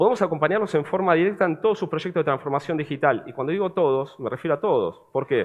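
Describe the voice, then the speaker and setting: With ordinary pitch variation, a man speaks high in pitch and at a very fast pace. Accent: Buenos Aires. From Argentina, Buenos Aires. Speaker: cybersecurity vendor representative. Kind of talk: conference presentation, sales pitch.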